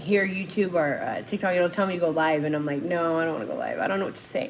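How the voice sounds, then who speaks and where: A woman speaks at a very fast pace in a fairly low voice. Her pitch rises and falls in an ordinary way. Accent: American. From Phoenix, Arizona. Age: 40s. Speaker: recovering addict and co-host of a livestream. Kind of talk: casual livestream talk. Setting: live stream. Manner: emotional, animated.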